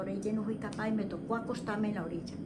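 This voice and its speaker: There is noticeable background noise behind a woman whose voice sits at a fairly high pitch. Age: old. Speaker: storyteller of rural ghost stories. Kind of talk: interview answer, recounting personal experience.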